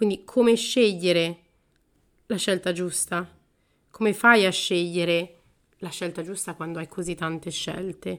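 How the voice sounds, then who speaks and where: A woman's fairly low voice with fairly even intonation and long, frequent pauses, in a very clean recording with a silent background. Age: 30s. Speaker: podcast host. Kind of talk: solo podcast monologue. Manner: casual, with frequent fillers.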